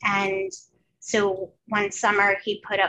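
Noticeable background noise plays under a voice with an American accent. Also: woman. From New Jersey. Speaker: artist and former teacher; former teacher. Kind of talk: casual interview chat. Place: home room. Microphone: headset.

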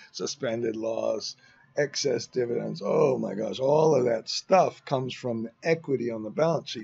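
Ordinary pitch variation and a moderate pace mark a man talking over a quiet background. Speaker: financial modelling instructor. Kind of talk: tutorial. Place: garden. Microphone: webcam.

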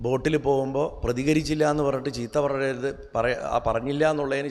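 A man's voice with vocal fry. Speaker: spiritual speaker. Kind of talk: spiritual discourse.

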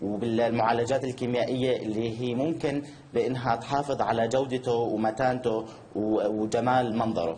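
Against light background noise, a man speaks at a medium pitch and a fairly slow pace with ordinary pitch variation. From Jordan. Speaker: social entrepreneur, founder of eco-friendly bag initiative. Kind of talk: live TV interview. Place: home room. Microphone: video call.

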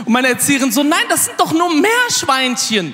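A man's raised, projected voice sits at an extremely high pitch with very wide pitch swings and a moderate pace. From Aachen area, Germany; Germany. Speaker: comedian. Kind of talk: stand-up. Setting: stage with audience. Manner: animated. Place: stage. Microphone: handheld.

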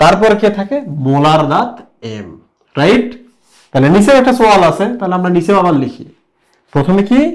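Heard with audible room echo, a man speaks in an animated tone at a high pitch. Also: lively intonation. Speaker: biology teacher. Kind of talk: whiteboard lecture. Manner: animated, lots of rhetorical questions.

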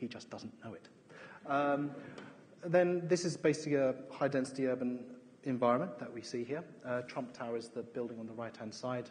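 A man with an English accent and medium pitch talks at a fairly quick pace, with ordinary pitch variation. His loudness swings a lot over light background noise. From England. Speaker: architect. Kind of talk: lecture. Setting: stage with audience. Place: hall. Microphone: headset.

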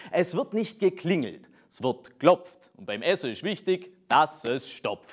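A man with a Swabian accent speaks with very wide pitch swings in a quiet background. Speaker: poetry slammer. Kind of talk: poetry slam performance. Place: studio. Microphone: lapel.

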